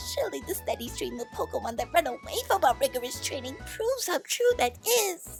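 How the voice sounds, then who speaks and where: A put-on character voice runs at a fairly quick pace with clear music in the background. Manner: bossy, fast, fussy.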